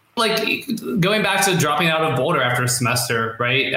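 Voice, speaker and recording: Noticeable background noise behind a man's fairly quick talking. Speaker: copywriter. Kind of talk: interview. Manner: fast.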